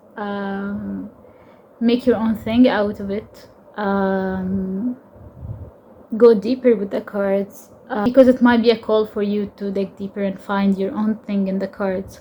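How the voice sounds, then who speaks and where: A woman with a medium pitch speaks at a very slow pace, her somewhat breathy, dark, mellow voice monotone and flat in intonation, with big swings in loudness. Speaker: tarot content creator and interdisciplinary artist. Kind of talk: personal vlog monologue. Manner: halting, many fillers and repetitions.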